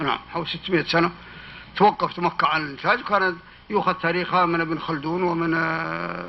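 Speaking at a moderate pace, a man with a high voice keeps his intonation fairly even over noticeable background noise. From Hejaz, Saudi Arabia (desert near Khulais). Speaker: historian and author. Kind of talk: public talk with Q&A.

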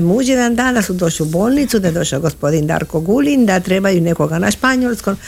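A woman with a Spanish accent, medium pitch and lively intonation. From Argentina, Buenos Aires. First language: Spanish (speaking Croatian). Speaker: guest. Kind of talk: interview.

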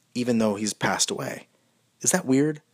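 Very wide pitch swings mark speech delivered at a moderate pace. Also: man. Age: 30s. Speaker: monologist. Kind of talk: personal monologue. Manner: halting.

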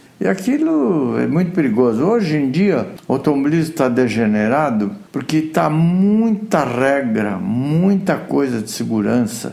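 A man with a fairly high pitch talks at a fairly slow pace with hardly any pauses and very wide pitch swings. Noticeable background noise runs underneath. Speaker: retired racing driver. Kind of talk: interview. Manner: animated.

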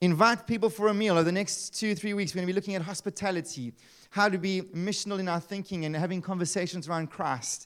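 Very fast and animated, a man with a high pitch speaks on a very clean recording over a silent background. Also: ordinary pitch variation. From South Africa, Eastern Cape. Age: 30s. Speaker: pastor. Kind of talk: sermon. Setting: church.

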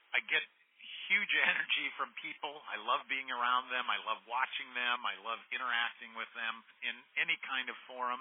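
The speaker is a man at medium pitch. His intonation stays fairly even. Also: moderate pace. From US Midwest, Iowa. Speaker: HR executive. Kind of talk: interview. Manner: halting.

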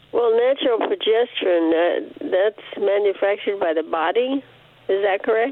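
A woman's lively intonation at a moderate pace, against noticeable background noise. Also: medium pitch for a woman. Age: 80s+. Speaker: caller. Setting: phone call. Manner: halting.

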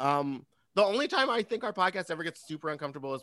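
A man's very fast, lively delivery with a bright, sharp tone. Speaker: drag performer guest. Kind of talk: casual chat.

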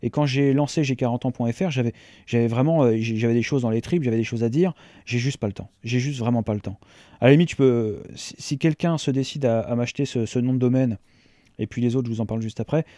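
A man's dark, mellow voice at medium pitch, fairly quick in pace, with ordinary pitch variation. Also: dry, close sound with no echo, quiet background. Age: 40s. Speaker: podcaster and digital strategy consultant. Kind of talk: solo podcast monologue. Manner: halting, many repetitions and fillers.

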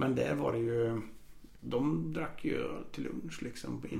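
A man at a moderate pace, with audible room echo. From Austria (Vienna) until 7, then Karlstad, Sweden. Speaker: law lecturer. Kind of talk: casual chat. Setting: home, on a sofa.

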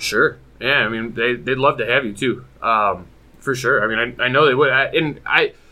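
A man with an unremarkable speaking voice, medium pitch, ordinary pitch variation and a moderate pace, with an American accent. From Michigan, US. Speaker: competitive card game player. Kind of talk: casual chat.

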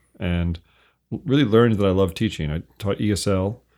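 A man with an unremarkable speaking voice talks at a moderate pace in a fairly low pitch with ordinary variation. The recording is very clean, with a silent background. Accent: American. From US Northeast. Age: 50s. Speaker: author. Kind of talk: casual chat. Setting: studio.

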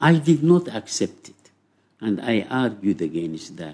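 A man talks with an Arabic accent. His pace is fairly slow. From Sudan. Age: 80s+. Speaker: psychology professor. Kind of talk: interview. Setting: in person.

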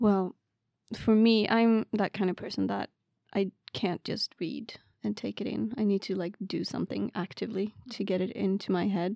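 A woman's medium-pitched voice with a Swedish accent, dark and mellow in tone, fairly even in intonation and moderate in pace, dry and close with no echo against a quiet background. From Sweden, Värmland. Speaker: PhD student in wildlife ecology. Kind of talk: casual interview.

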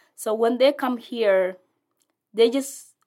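A fairly high-pitched woman with a non-native accent and ordinary pitch variation, in a very clean recording with a silent background. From South Sudanese, raised in a refugee camp in Ethiopia. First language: not English. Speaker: refugee resettlement case manager. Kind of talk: interview. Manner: halting.

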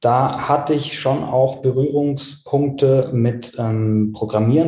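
A somewhat breathy man's voice, dark and mellow, at a fairly slow pace with audible room echo. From South Tyrol, Italy. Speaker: web design agency owner. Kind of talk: interview.

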